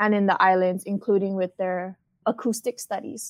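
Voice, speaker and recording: The intonation stays monotone and flat, with a Hawaiian accent. The sound is dry and close with no echo. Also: woman. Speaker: marine outreach coordinator. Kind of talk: interview.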